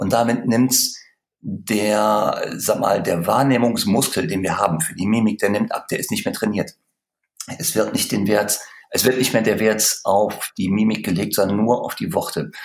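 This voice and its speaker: At a moderate pace and with ordinary pitch variation, an unremarkable speaking voice carries on. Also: man, fairly low pitch for a man. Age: 50s. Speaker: sales trainer. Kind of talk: interview.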